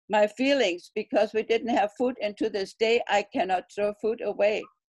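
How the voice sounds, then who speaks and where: A German accent with ordinary pitch variation. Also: woman, fairly high pitch for a woman, moderate pace, dry, close sound with no echo. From Germany (Berlin). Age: 80s+. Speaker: Berlin airlift witness. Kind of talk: oral history interview.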